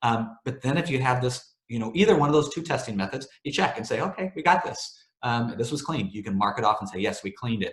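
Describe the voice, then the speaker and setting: Speaking very fast, a man has a medium-pitched, somewhat breathy voice. His intonation is lively. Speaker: webinar presenter for a cleaning vendor. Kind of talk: webinar presentation. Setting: online webinar. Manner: casual, filler-heavy.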